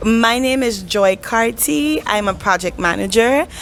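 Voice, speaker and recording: A woman speaks fairly slowly. Music can be heard behind her. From Saint Martin. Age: young. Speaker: project manager. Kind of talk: casual interview.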